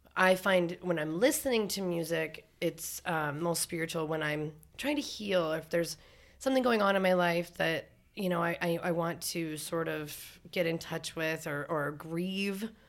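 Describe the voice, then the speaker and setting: Fairly low in pitch, a woman talks with an Upper Midwestern accent. Her pace is fairly slow. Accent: Upper Midwestern American. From North Dakota. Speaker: singer-songwriter. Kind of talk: casual chat.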